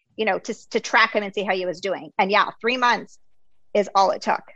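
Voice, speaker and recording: With a plain, everyday voice, a woman speaks at a moderate pace and fairly even intonation. The sound is dry and close with no echo, over a quiet background. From US, Greek immigrant family. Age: 40s. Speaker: podcast host and health coach. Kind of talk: casual interview chat.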